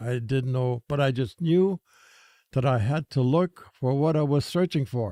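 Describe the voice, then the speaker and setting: Speaking at a medium pitch and a fairly slow pace, a man has a dark, mellow tone, ordinary pitch variation and very even loudness. The sound is dry and close, with no echo. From Saskatchewan, Canada. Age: 80s+. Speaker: former priest, gang outreach founder. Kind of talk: casual interview. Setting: studio.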